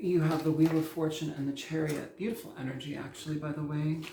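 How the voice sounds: The tone is dark and mellow, delivered at a fairly quick pace with fairly even intonation. Room echo is audible.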